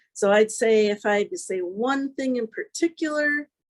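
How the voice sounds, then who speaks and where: The speech moves at a very slow pace. The sound is dry and close, with no echo. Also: woman. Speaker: author. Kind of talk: interview.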